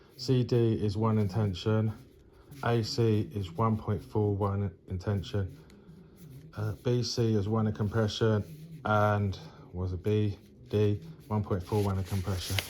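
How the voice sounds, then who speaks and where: A man speaks at a fairly slow pace with fairly even intonation and a fairly low pitch, leaving long, frequent pauses. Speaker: engineering tutor. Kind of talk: tutorial. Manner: hesitant, many fillers.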